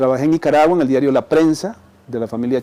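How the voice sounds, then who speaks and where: This man's voice has a dark, mellow tone, medium pitch and ordinary pitch variation. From Costa Rica, Central Valley. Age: 60s. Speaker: retired journalist. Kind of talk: interview conversation. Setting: restaurant.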